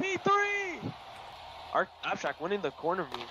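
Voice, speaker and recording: Over noticeable background noise, a man speaks in a high pitch with very wide pitch swings. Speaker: sports commentator. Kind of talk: live play-by-play commentary, casual and reactive. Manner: excitable, exclaiming.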